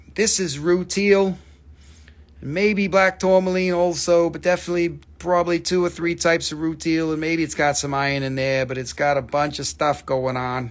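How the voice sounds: This man's voice sits at a fairly high pitch with little pitch movement. He keeps a moderate pace.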